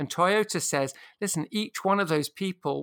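On a very clean recording with a silent background, a man speaks with a British accent. His pitch varies in an ordinary way, and the sound is dry and close with no echo. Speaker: strategy author and consultant.

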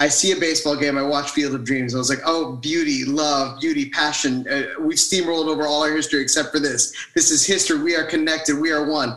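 Over noticeable background noise, a man with a fairly high pitch talks at a very fast pace with hardly any pauses, very even loudness and fairly even intonation. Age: 30s. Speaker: podcast co-host. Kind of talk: casual chat. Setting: remote recording from mother's house without mic.

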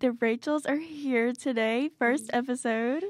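A woman with a high pitch speaks at a fairly slow pace in a dry, close sound with no echo. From Tennessee, near Nashville. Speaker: student radio fashion assistant. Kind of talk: casual chat. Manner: animated.

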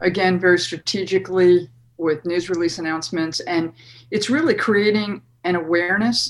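Hers is an unremarkable speaking voice, a woman at a fairly low pitch with ordinary pitch variation and a moderate pace. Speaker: party official and media trainer. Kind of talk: interview.

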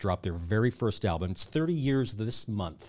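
A man with a plain, everyday voice speaks at a fairly low pitch and a fairly quick pace. His intonation is lively, on a very clean recording with a silent background. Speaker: podcast co-host. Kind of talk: casual chat.

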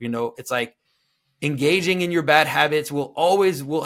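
Someone speaks at a fairly quick pace in a Quebec accent, on a very clean recording with a silent background. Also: man. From Quebec, French Canada. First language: French. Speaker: liturgical artist and commentator on symbolism. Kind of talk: interview conversation.

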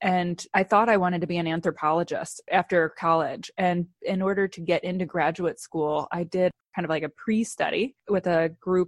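A woman with an American accent speaks at a moderate pace with hardly any pauses, fairly low in pitch and fairly even in intonation, in a dry, close sound with no echo against a quiet background. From US Midwest. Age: 30s. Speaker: company founder and CEO. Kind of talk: interview.

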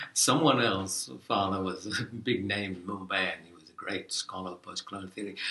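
The speaker moves at a fairly quick pace with ordinary pitch variation. Noticeable background noise is audible. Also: man, fairly low pitch for a man. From Fiji (Indo-Fijian). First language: Fiji Hindi. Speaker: professor. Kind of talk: casual interview. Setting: office. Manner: halting.

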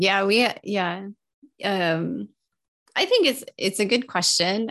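In an American accent, the speaker talks at a fairly slow pace with vocal fry. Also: woman. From Texas. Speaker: podcast co-host, fraud investigator and writer. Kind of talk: casual chat.

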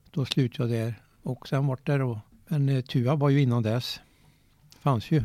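Long, frequent pauses break up this man's moderate pace. His medium-pitched voice has a dark, mellow tone and fairly even intonation. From Värmland, Sweden (Eda, Åmotfors). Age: 70s. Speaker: golf club chairman, former police officer. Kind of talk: interview. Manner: halting.

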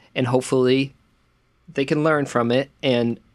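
Medium in pitch with ordinary variation, a man speaks at a fairly slow pace. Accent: American. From central Massachusetts. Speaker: podcast co-host. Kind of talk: casual film discussion.

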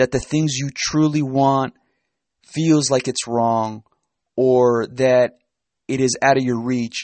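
Speaking at a fairly slow pace, a man uses a medium pitch and a monotone, flat intonation. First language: Spanish. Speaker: self-help podcast host. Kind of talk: solo motivational talk.

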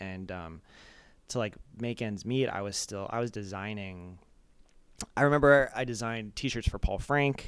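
A man's normal speaking voice with a General American accent, fairly low in pitch, with ordinary pitch variation and a moderate pace. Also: very clean recording, silent background. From Arizona suburb. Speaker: music video director. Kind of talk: casual interview. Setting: home kitchen, handheld mic.

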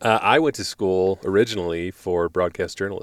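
A man speaks at a fairly quick pace in a very deep, low voice with ordinary pitch variation. The sound is dry and close with no echo, and the recording is very clean over a silent background. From moved around the US (ten states), born in Pittsburgh. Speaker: video producer and outdoor writer. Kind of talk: casual chat. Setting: inside a truck in the mountains.

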